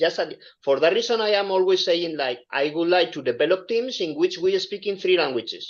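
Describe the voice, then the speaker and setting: A man speaks at a high pitch with lively intonation. He keeps a moderate pace with hardly any pauses. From Spain. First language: Spanish. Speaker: engineer and aspiring entrepreneur. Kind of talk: online group discussion. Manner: halting.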